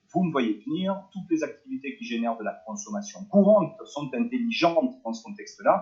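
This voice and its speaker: Hardly pausing, a man speaks at a moderate pace with a high pitch, very wide pitch swings and big swings in loudness. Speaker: network marketing presenter. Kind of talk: webinar presentation.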